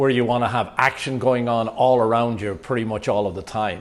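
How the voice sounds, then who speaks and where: This man talks at a fairly quick pace with an Irish accent and fairly even intonation. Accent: Irish, noticeable after decades in the US. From Ireland. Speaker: YouTube vlogger and real estate agent. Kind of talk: casual vlog talk to camera.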